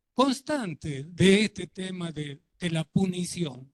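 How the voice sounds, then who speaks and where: The sound is dry and close with no echo as a man speaks at a very slow pace. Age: 70s. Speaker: audience member. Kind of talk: audience comment.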